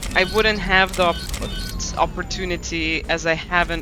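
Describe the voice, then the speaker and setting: Music plays in the background while a man speaks amid audible room echo. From Lithuania. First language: Lithuanian. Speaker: gaming streamer. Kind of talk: casual live-stream chat. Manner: fast, with repetitions and self-corrections.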